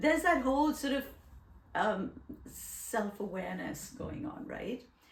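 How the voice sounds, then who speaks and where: Against noticeable background noise, a woman speaks at a fairly slow pace and high pitch with lively intonation. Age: 60s. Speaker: podcast host. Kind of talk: casual chat.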